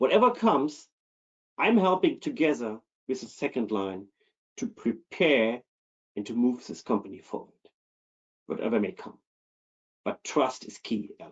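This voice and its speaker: With a German accent, a man speaks in very wide pitch swings, leaving long, frequent pauses. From Germany. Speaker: keynote speaker on internal audit. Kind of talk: webinar presentation.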